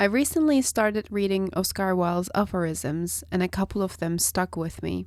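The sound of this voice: Nasal and fairly low-pitched, a woman speaks with ordinary pitch variation on a very clean recording with a silent background.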